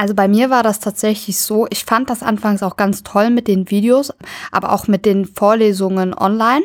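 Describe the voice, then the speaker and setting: A woman's unremarkable speaking voice, fairly high and fairly even in intonation, at a moderate pace on a very clean recording with a silent background. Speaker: university student. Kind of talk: casual interview.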